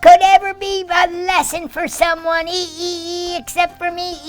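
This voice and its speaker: A cartoonish character voice moves at a fairly slow pace while faint music plays in the background. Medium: puppet. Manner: excited, upbeat.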